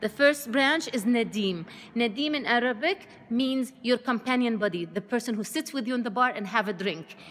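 Speaking at a moderate pace, a woman uses lively intonation and a high pitch. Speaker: winery guide. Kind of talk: tour guide explanation. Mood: friendly, enthusiastic. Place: shop. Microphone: phone near.

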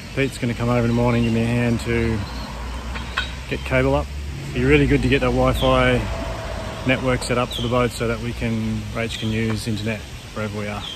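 A man talks at a very fast pace. The sound is dry with no echo, though noticeable background noise is present. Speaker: sailing vlogger. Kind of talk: casual vlog chat. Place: garden. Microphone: phone near.

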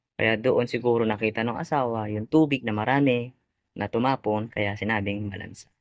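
A man at medium pitch and a fairly quick pace. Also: fairly even intonation. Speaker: YouTuber and live tilapia vendor. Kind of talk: vlog storytelling. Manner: halting, many fillers.

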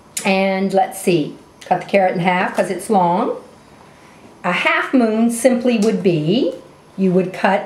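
A woman speaks at a very slow pace. Light background noise and audible room echo are present. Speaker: cooking instructor. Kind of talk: tutorial. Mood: warm, enthusiastic. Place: kitchen.

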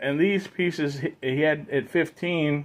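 At a fairly slow pace, a man is talking. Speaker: toy dealer vlogger. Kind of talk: casual vlog chat. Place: home room. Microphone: phone near.

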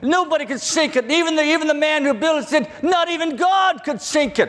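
Against a quiet background, a man speaks at a moderate pace with an American accent. His voice is extremely high in pitch, with ordinary pitch variation. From southern Virginia, US South. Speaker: preacher. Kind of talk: sermon. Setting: church. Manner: halting. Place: hall. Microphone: lapel.

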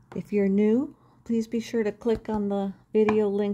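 Loud background noise surrounds a woman who talks fairly slowly. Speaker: spiritual card reader and video creator. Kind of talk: guided meditation. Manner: calm, gentle, reflective. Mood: calm, gentle. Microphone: phone near.

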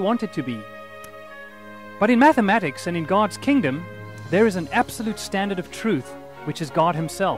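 A man with a South African accent speaks fairly quickly at a high pitch, with very wide pitch swings and long, frequent pauses. The sound is dry with no echo, and faint music plays in the background. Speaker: math teacher. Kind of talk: teacher introduction to camera. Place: street.

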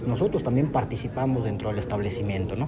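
Over loud background noise, a man talks with ordinary pitch variation. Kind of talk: press interview answer. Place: hall. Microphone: handheld.

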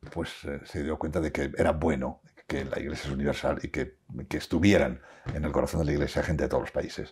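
Very fast, a man talks in a very deep, low voice with vocal fry and fairly even intonation. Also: quiet background. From La Rioja, Spain; Spain. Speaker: interviewee. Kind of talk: interview. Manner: halting, with many repetitions. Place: home room. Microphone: lapel.

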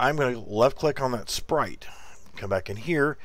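The recording is very clean, and the background is silent. The pace of speech is moderate. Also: man. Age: 40s. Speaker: game developer streamer. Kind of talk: tutorial. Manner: halting.

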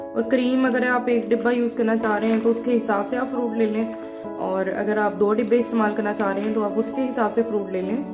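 A woman at a moderate pace with clear music in the background. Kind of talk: tutorial. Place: kitchen. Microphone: phone near.

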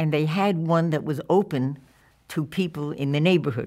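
With a New York accent, a woman speaks at a very deep, low pitch. The background is quiet. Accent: New York American. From New York (Yonkers and Brooklyn). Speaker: documentary filmmaker; interviewee. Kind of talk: oral history interview. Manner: halting. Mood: warm, reflective. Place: studio.

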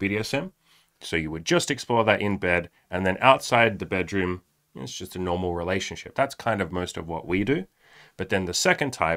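Over a quiet background, a man speaks at a moderate pace with a very deep, low pitch, a bright, sharp tone, and ordinary pitch variation. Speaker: podcast co-host. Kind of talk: podcast discussion intro. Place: studio. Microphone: studio mic.

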